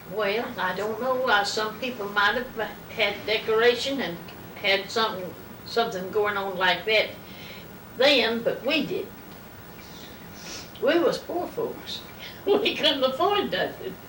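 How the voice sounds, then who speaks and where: A woman's fairly high voice in an American accent, with lively intonation, a fairly slow pace and long, frequent pauses, amid audible room echo and noticeable background noise. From US South, North Carolina. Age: 90s. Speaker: elderly interviewee. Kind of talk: oral history interview.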